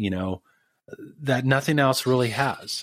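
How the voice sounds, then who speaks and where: In a very clean recording with a silent background and a dry, close sound with no echo, a man speaks at a moderate pace with ordinary pitch variation. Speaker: sound healing musician. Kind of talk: interview, casual conversation.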